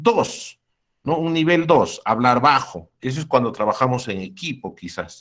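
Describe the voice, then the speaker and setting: On a very clean recording with a silent background, a man of medium pitch speaks with lively intonation. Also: fairly slow pace. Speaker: university lecturer. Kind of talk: lecture. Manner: halting; loud.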